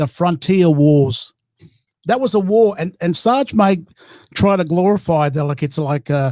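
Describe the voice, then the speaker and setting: This man talks at a fairly slow pace with a high pitch, a dark, mellow tone and lively intonation. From Torres Strait Islands, Australia. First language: Meriam Mer. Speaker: First Nations panel guest. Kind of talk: heated debate.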